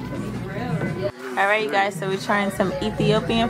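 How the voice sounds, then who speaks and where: A woman speaking at a fairly slow pace over loud music in the background. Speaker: family vlogger. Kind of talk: casual vlog chat. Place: cafe. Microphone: phone near.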